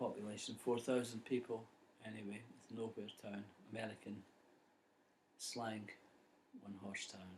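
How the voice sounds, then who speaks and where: A man with a Scottish accent speaks at a moderate pace and fairly low pitch, somewhat breathy and in a monotone, flat intonation, with big swings in loudness and long, frequent pauses. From Scotland. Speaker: poet. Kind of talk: casual introduction to a poem.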